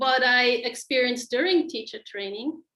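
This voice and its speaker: With a non-native accent, a woman speaks in a raised, projected voice that is high in pitch, with a bright, sharp tone. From Switzerland. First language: not English. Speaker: qigong teacher. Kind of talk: personal story on a group video call.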